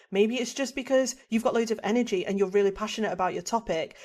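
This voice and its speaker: A woman speaks with a fairly high pitch and a dark, mellow tone, her pitch varying in an ordinary way. The recording is very clean, with a silent background. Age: 30s. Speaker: psychologist and author. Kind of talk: podcast interview. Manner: animated.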